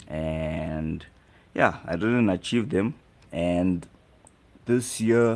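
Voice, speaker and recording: A man with an East African accent and a very deep, low pitch talks at a very slow pace with long, frequent pauses and lively intonation. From South Africa. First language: Swahili. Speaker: live streamer. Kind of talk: casual chat.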